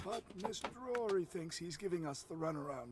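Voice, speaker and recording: This put-on character voice sits at a middle pitch. The pace is fairly quick. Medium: video game. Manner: blunt, profane.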